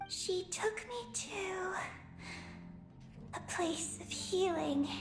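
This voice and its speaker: A put-on character voice at an extremely high pitch goes at a very slow pace against clear background noise. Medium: video game. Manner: terse, halting.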